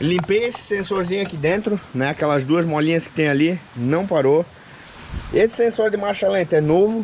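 Ordinary pitch variation at a moderate pace, over light background noise. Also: man, high pitch for a man. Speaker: car hobbyist vlogger. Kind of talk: casual vlog chat. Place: open country. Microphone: phone near.

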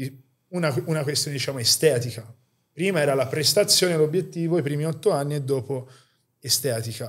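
Against a quiet background, a man talks at a fairly quick pace in a fairly high, somewhat breathy voice. His pitch variation is ordinary. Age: 30s. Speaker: podcast host, fitness enthusiast; podcast host. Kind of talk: casual interview. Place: home room. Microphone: studio mic.

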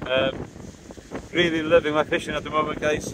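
A man speaks with a fairly high pitch and fairly even intonation. His tone is fairly bright over faint background noise. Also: moderate pace.

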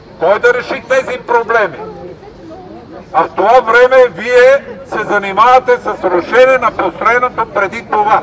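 Over crowd noise in the background, a man talks fairly slowly at an extremely high pitch with ordinary pitch variation. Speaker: speaker. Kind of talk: protest speech. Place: street. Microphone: camera far.

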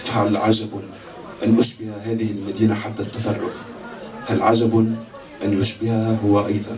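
A man's monotone, flat voice over light background noise. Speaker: poet or reader. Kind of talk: literary reading. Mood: calm, reflective delivery. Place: stage. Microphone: pa.

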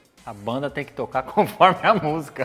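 A man's voice with faint music in the background. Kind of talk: casual conversational explanation. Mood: jovial, laughing. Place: studio. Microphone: lapel.

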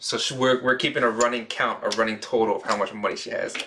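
Noticeable background noise sits under a voice in an American accent. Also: man. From Pennsylvania (Lancaster). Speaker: blackjack YouTuber. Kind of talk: casual commentary while playing blackjack. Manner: casual, laughing often.

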